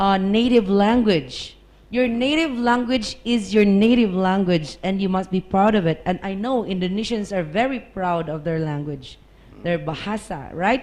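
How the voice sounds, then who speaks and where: With a Filipino accent, a woman speaks at a medium pitch and a moderate pace with lively intonation. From Philippines. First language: Tagalog. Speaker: English teacher. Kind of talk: podcast discussion.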